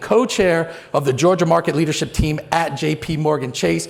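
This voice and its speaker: Noticeable background noise fills the clip. Over it, a man goes at a fairly quick pace, his pitch varying in an ordinary way. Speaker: event host, news managing editor. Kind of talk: live event emcee remarks. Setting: stage with live audience. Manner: fast and loud; energetic, animated.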